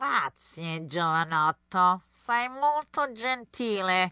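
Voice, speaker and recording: The background is quiet and the sound is dry and close, with no echo. A woman speaks very slowly at medium pitch with very wide pitch swings. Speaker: podcast host and Italian language instructor. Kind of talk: dramatic storytelling narration in Italian, acting out the tale. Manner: animated, theatrical, expressive storyteller.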